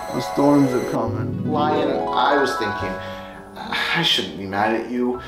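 A man at a fairly slow pace, clear music in the background. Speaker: video creator. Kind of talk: casual vlog review chat.

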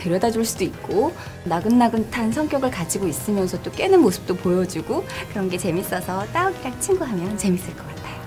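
With clear music in the background, a woman speaks with lively intonation. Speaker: voice actor. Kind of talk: interview answer. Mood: cheerful, smiling. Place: studio.

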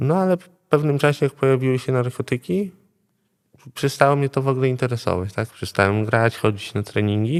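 Heard in a dry, close sound with no echo, a man uses a normal speaking voice at medium pitch, with ordinary pitch variation and a fairly quick pace. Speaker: addiction therapy patient. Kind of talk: testimony. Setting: rehab centre.

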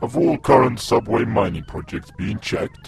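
A raspy, put-on character voice from a man, medium in pitch, at a moderate pace over clear music in the background. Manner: emotionless, commanding.

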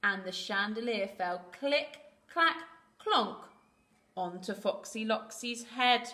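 The text is read aloud in a natural voice. Its intonation is lively.

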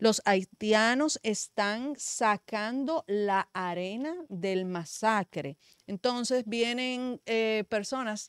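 Lively intonation from a woman, dry with no echo, over a quiet background. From Dominican Republic. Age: young. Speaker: media commentator. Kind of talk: political talk show discussion. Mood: indignant, argumentative. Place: studio. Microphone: studio mic.

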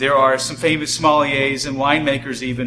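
At a fairly quick pace, a man speaks over noticeable background noise. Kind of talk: product presentation. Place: shop.

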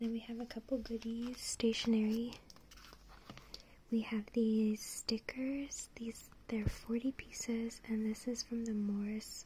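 Soft-spoken whispering comes through over light background noise. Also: fairly slow pace. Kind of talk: casual haul vlog chat. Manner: soft ASMR whisper. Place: home room. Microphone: phone near.

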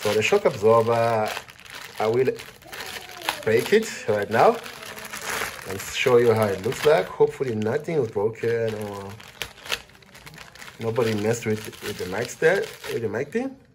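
A man speaks with long, frequent pauses against noticeable background noise. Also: ordinary pitch variation, moderate pace. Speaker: product reviewer. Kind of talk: casual unboxing vlog chat. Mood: cheerful, curious. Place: home room. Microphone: phone near.

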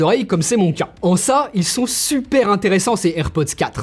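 Lively in intonation, a man talks at a moderate pace. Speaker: tech YouTuber. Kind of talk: product review. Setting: outdoors on a street. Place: home room.

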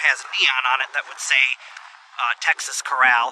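A man speaks at a moderate pace in a bright, sharp tone.

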